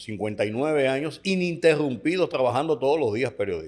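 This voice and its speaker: Speaking very fast, a man lets his pitch leap and drop very widely. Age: 70s. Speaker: veteran journalist. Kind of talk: interview conversation.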